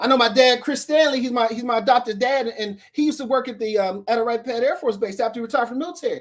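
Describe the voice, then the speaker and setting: A man with an American accent and an extremely high pitch rushes along at a very fast pace with hardly any pauses, an animated tone and ordinary pitch variation. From Dayton, Ohio, US Midwest. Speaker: Air Force veteran, motivational speaker. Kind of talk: motivational talk in interview.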